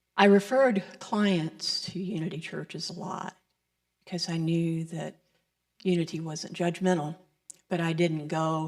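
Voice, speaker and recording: Pausing long and often, a woman with an American accent and a fairly low pitch keeps a fairly even intonation while her loudness swings widely. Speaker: licensed Unity teacher giving the Sunday message. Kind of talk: sermon. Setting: church service with congregation. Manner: preacher-like cadence of a Baptist minister.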